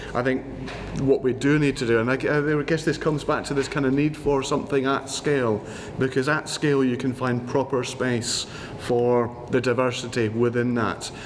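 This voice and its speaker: Noticeable background noise sits behind a man speaking at medium pitch. His intonation is monotone and flat, and his loudness stays very even. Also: moderate pace. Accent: Scottish. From Scotland. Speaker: housing panelist, former councillor. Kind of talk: panel discussion.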